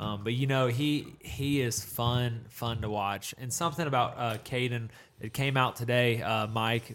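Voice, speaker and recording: A man uses a normal speaking voice, medium in pitch, with fairly even intonation at a fairly slow pace. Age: 20s. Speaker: high school football podcast co-host. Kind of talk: casual sports chat.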